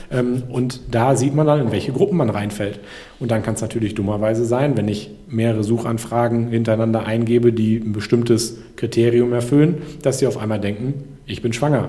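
A man talks at a fairly quick pace in a medium pitch with fairly even intonation. Audible room echo and noticeable background noise sit behind him. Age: 30s. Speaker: entrepreneur. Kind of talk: casual chat. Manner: hesitant.

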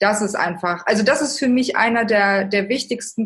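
Speaking at a moderate pace, a woman with a medium-pitched, somewhat breathy voice uses ordinary pitch variation. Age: 30s. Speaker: author and life coach. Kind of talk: interview.

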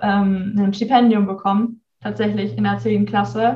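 The woman's voice is dark and mellow, with a medium pitch. She is somewhat breathy and keeps a moderate pace. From North Rhine-Westphalia, near Bielefeld. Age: young. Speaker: university student. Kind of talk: casual interview.

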